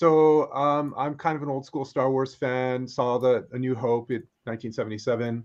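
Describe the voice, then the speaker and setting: A man speaks in a normal speaking voice at medium pitch, with ordinary pitch variation. His pace is moderate, and the background is quiet. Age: 50s. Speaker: artist. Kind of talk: casual chat.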